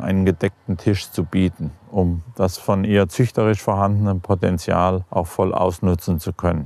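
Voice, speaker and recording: A man with a dark, mellow tone is heard in a dry, close sound with no echo. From Germany, Hesse (Ebsdorfer Grund). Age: 60s. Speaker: farmer. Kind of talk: interview explanation.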